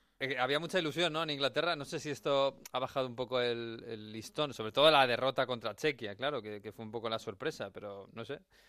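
A man speaks in a medium pitch with a bright, sharp tone and hardly any pauses. The recording is very clean, with a silent background. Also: ordinary pitch variation, fairly quick pace, big swings in loudness. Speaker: sports radio host. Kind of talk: casual chat.

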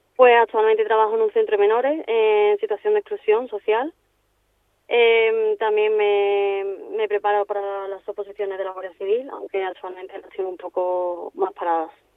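Speaking at a moderate pace, a woman with a fairly high pitch keeps her intonation fairly even while her loudness swings widely. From Seville, Andalusia, Spain. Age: 20s. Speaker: football referee. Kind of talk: radio interview. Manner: halting.

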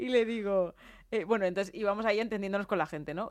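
In a very clean recording with a silent background, a woman is heard talking. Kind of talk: casual chat. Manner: fast.

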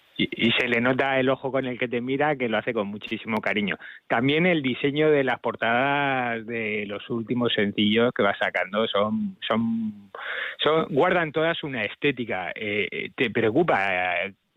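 An ordinary speaking voice, with ordinary pitch variation, keeps to a moderate pace. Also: man. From Spain, Castilla-La Mancha. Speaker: music journalist. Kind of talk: radio interview.

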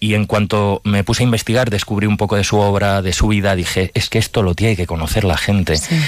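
A man with a fairly low pitch talks at a fairly quick pace, showing ordinary pitch variation. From Palencia, Spain. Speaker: playwright and director. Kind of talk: interview.

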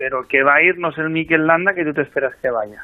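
A man speaks at a fairly high pitch with ordinary pitch variation. His is an unremarkable speaking voice. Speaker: national cycling team coach. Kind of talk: radio interview.

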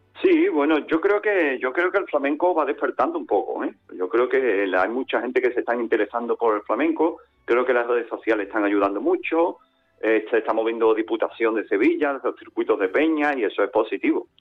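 The background carries music. Over it, a man talks rather briskly. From Andalusia, Algeciras. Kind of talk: interview.

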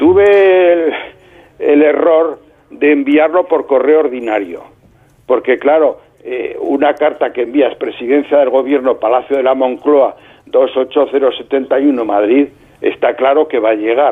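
A man's fairly high voice with ordinary pitch variation, at a very slow pace. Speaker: lawyer. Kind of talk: interview.

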